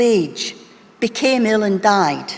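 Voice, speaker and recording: A woman talks at a fairly slow pace with a Scottish accent. Her pitch varies in an ordinary way, and there is noticeable background noise. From Scotland, Wishaw (Lanarkshire). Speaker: doctor, medical college leader. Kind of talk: conference keynote speech. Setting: stage with audience. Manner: formal.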